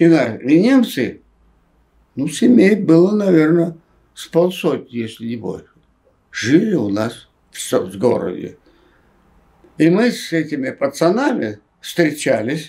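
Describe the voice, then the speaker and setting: A man with a dark, mellow tone and vocal fry speaks at a very slow pace with long, frequent pauses, his fairly high pitch swinging very widely and his loudness shifting in big swings against a quiet background. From Rostov region, Russia. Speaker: film director and writer, former Gulag prisoner. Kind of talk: interview answer. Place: home room.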